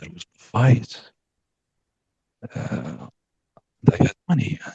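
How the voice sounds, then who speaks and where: A somewhat breathy man at a fairly slow pace, dry and close with no echo. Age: young. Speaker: coaching client. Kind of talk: personal testimony. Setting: video call. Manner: halting, many fillers.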